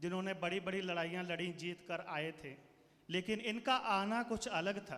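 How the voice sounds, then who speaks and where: In a high-pitched, bright, sharp tone, a man speaks with ordinary pitch variation. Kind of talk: speech to school audience. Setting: stage with audience.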